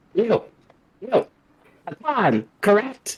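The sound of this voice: A put-on character voice sounds raspy at a fairly high pitch.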